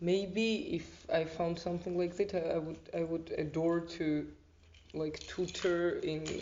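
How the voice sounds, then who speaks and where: A woman speaks fairly slowly in a Georgian accent with flat, monotone intonation. The room echo is audible. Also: fairly low pitch for a woman. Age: 20s. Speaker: volunteer, arts student. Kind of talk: interview.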